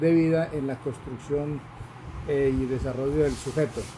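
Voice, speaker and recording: Over noticeable background noise, a man speaks at a fairly high pitch with fairly even intonation. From Colombia, rural Cundinamarca and Bogotá. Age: 60s. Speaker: university student. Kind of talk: class presentation. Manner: halting, many fillers.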